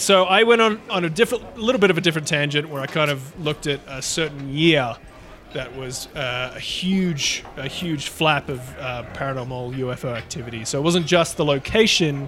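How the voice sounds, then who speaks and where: Speaking in an Australian accent at a moderate pace, a man with a fairly high pitch and lively intonation shows big swings in loudness over noticeable background noise. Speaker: podcast co-host. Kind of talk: casual chat.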